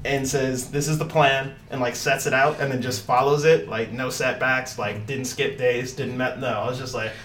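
Background noise is noticeable as the man, medium in pitch, keeps his intonation fairly even. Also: moderate pace. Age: 20s. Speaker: martial artist and amateur fighter. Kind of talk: casual chat.

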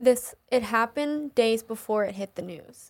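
The speaker is a woman with a high pitch. She talks very slowly. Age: 20s. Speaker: podcast co-host. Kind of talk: casual chat.

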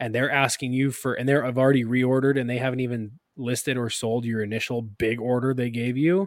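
An unremarkable speaking voice from a man, medium in pitch, at a fairly quick pace with fairly even intonation and hardly any pauses. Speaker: podcast co-host. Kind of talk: casual chat. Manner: casual, joking.

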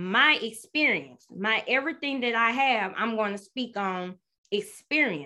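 Bright, sharp tone at a fairly slow pace, with lively intonation and a quiet background. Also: woman. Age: 30s. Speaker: podcast host. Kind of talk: casual solo talk, first episode intro. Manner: animated, chatty; nervous, excitable.

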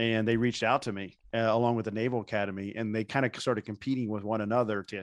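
A man with a Midwestern American accent speaks at a very fast pace and medium pitch in monotone, flat intonation. The sound is dry and close with no echo, over a quiet background. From Indiana. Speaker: professional speaker and author. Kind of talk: interview conversation.

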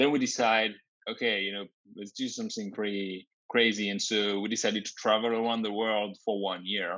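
A man with a French accent speaks fairly quickly in a fairly low, monotone, flat voice. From France. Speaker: tech company founder and CEO. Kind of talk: interview.

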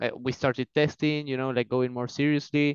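A man speaks in an Argentine accent at medium pitch with monotone, flat intonation. The sound is dry and close, with no echo. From Argentina. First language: Spanish. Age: 20s. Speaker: racing driver. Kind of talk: casual interview. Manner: fluent but hesitant, filler words.

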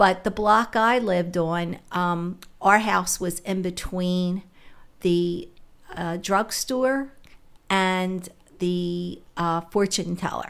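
At a very slow pace, a woman with an American accent speaks at a medium pitch with fairly even intonation. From Philadelphia (West Philly). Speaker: retired special ed worker. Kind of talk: casual chat.

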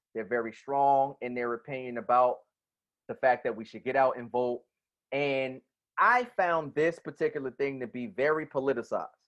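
Speaking at a moderate pace with an American accent, a man has a plain, everyday voice at a medium pitch, ordinary pitch variation, and big swings in loudness. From New Jersey. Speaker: podcast host. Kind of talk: casual chat.

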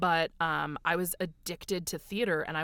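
A woman with an American accent and a plain, everyday voice speaks fairly slowly at a fairly low pitch with fairly even intonation. The recording is very clean, with a silent background. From United States. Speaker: voice actor. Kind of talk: casual interview.

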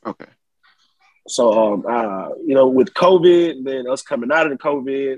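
Recorded dry and close with no echo, a man speaks in a medium pitch with a Southern US accent. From Blakely, Georgia. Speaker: musician. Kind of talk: casual chat.

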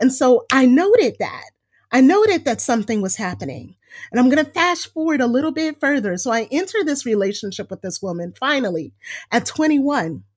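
Her American accent clear on a very clean recording with a silent background, a woman speaks at a fairly quick pace in an animated tone, her high pitch swinging very widely. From US West Coast, Los Angeles. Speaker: educator and performer. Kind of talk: interview conversation.

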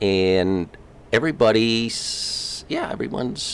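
Over noticeable background noise, someone talks at a very slow pace with ordinary pitch variation. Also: man. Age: 60s. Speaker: retiree-age father of host's friend. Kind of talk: casual interview.

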